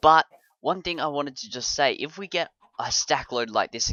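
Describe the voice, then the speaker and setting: With an Australian accent, a man speaks at a fairly high pitch and with lively intonation. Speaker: gaming video creator. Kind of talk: let's play commentary. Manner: casual, chatty with fillers.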